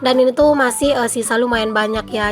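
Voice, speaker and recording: Very fast speech from a woman, with music in the background. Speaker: vlogger, village housewife. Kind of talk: vlog voice-over narration. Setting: home, recorded after dawn prayer. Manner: more subdued than usual, slightly quieter; casual chatty.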